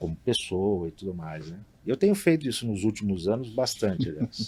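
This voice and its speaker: This man has a normal speaking voice, fairly low in pitch, and talks at a moderate pace. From Brazil, São Paulo state (Marília). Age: 50s. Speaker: hotelier. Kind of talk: interview. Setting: studio.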